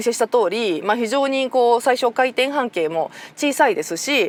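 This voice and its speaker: Here a woman speaks at a high pitch and a moderate pace. The sound is dry and close, with no echo. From Nara, Japan. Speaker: motoring journalist. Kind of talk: car review talk to camera.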